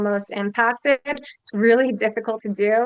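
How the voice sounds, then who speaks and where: Recorded dry and close with no echo, a woman with an American accent has a plain, everyday voice, a fairly high pitch and fairly even intonation. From Philadelphia, US Northeast. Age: 30s. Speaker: congressional candidate. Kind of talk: interview.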